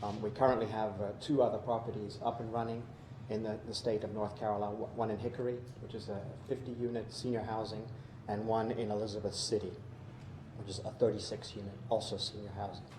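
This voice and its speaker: A man speaks very fast in a fairly low, flat monotone. Noticeable background noise and audible room echo fill the recording. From Georgia, US South. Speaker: housing developer executive. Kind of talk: public hearing testimony. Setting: city council meeting. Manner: halting, many fillers.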